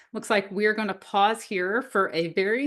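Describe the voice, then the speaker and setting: A woman speaks with an unremarkable speaking voice at medium pitch. Her pace is moderate and the background is quiet. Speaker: webinar presenter. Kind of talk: casual, conversational presentation.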